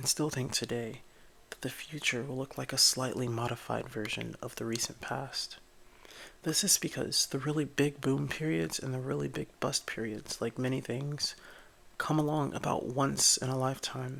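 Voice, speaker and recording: Soft-spoken, a man talks at a moderate pace in a medium pitch with ordinary pitch variation. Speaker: ASMR creator. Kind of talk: ASMR bedtime book reading.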